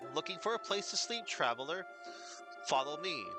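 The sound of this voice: A man puts on a squeaky character voice at a high pitch, moving at a moderate pace. Loud music plays in the background.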